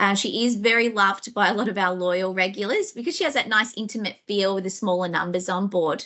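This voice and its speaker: A woman's fairly high-pitched voice at a fairly quick pace with ordinary pitch variation. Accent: Australian. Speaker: sales manager presenting a travel webinar. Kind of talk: webinar presentation. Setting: live online webinar from head office.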